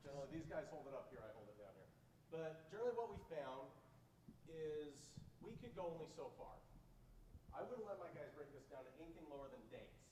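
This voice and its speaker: Speaking fairly quickly with lively intonation, a man takes long, frequent pauses and swings widely in loudness, with audible room echo. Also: fairly high pitch for a man. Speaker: IT project manager. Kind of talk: conference Q&A answer.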